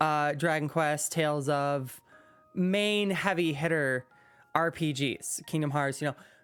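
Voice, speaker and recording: Noticeable noise sits behind speech that unfolds at a fairly slow pace. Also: woman. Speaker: gaming YouTuber. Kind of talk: casual talking-head monologue. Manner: animated; stuttering, many ums.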